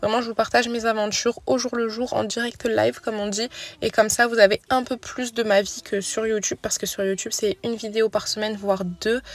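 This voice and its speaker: Intonation remains fairly even. The words come at a fairly quick clip. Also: woman, fairly high pitch for a woman. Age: 20s. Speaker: mom vlogger. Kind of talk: voice-over narration. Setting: in a car. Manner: soft-spoken.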